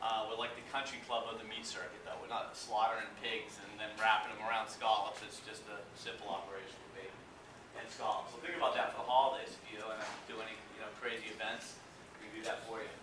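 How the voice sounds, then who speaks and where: Very fast, monotone speech in an East Coast US accent, with big swings in loudness, noticeable background noise and audible room echo. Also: man, medium pitch for a man. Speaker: seafood company representative. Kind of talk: presentation to an audience. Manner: casual, many filler words.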